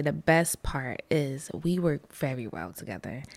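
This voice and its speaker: A woman with an American accent and vocal fry swings very widely in pitch, recorded with a dry, close sound and no echo. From US Northeast, the Bronx, New York. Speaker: winery and book bar owner. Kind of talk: casual chat.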